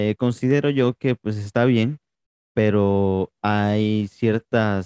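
A very slow male voice, fairly low in pitch, dark and mellow, with fairly even intonation and a dry, close sound with no echo. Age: 20s. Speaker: podcast host. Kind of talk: interview.

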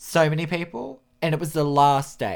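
A man with an Australian accent and a fairly high pitch is heard on a very clean recording with a silent background. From Australia, rural New South Wales. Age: 20s. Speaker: podcast host and aspiring photographer. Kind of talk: solo podcast monologue. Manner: casual, with frequent fillers and self-corrections.

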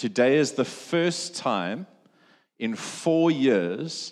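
The intonation is lively. It belongs to a man. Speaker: pastor. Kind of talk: sermon. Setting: church. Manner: loud.

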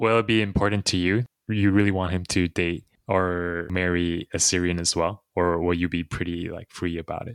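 A man speaks at a very deep, low pitch and a moderate pace with fairly even intonation. The sound is dry and close with no echo against a quiet background. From Taiwan, moved to US around fifth grade. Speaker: podcast host, dentist. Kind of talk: casual chat.

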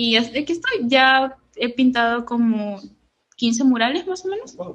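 The voice belongs to a woman. Her pitch is fairly high. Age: 20s. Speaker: lettering artist and entrepreneur. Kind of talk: interview.

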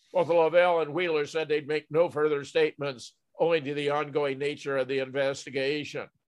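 At a fairly quick pace, a man with a fairly high pitch talks in a monotone, flat intonation. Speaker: podcast host. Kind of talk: news commentary discussion. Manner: measured, formal.

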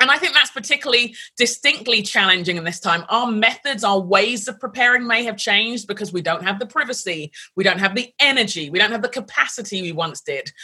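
A woman's fairly high, bright, sharp voice in a London accent, very fast and with lively intonation. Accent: British (London). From London, England. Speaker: pastor, author and leadership coach. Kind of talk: interview conversation.

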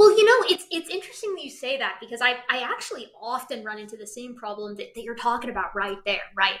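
A woman speaks very fast in a high voice with hardly any pauses, her pitch swinging very widely and her loudness rising and falling sharply over noticeable background noise. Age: 20s. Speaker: primatologist and science video creator. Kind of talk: casual chat. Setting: video call.

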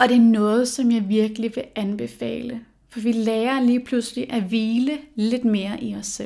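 In a very clean recording with a silent background, a woman speaks at a fairly high pitch with a dark, mellow tone and fairly even intonation. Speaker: podcast host. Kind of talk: solo podcast monologue. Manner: hesitant with fillers.

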